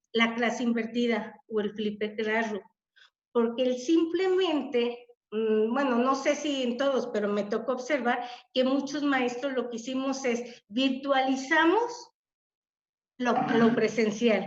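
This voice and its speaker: At a very slow pace, a woman speaks in a high pitch with audible room echo. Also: ordinary pitch variation. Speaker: webinar speaker, teacher. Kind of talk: webinar talk.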